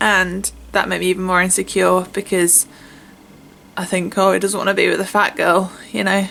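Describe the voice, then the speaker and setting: At a moderate pace, a woman with a British accent speaks at a medium pitch in a bright, sharp tone, with vocal fry and monotone, flat intonation. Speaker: vlogger. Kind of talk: personal testimony. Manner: halting.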